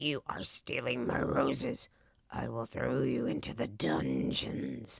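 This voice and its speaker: A put-on character voice growls, raspy and at a very deep, low pitch, with very wide pitch swings. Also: fairly slow pace. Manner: snarling and bellowing.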